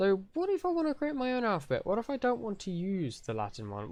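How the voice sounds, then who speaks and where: A man is speaking. He talks with a British accent. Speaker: conlang tutorial youtuber. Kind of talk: tutorial. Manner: casual.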